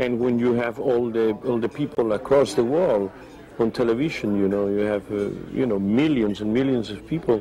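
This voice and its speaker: There is noticeable background noise. A man speaks with a Spanish accent. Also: medium pitch for a man, ordinary pitch variation, moderate pace. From Spain. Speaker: opera tenor. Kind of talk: interview answer.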